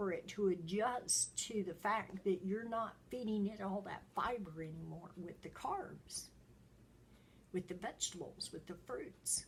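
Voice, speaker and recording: A woman speaks fairly slowly at a medium pitch with ordinary pitch variation and vocal fry. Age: 70s. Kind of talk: casual talk to camera.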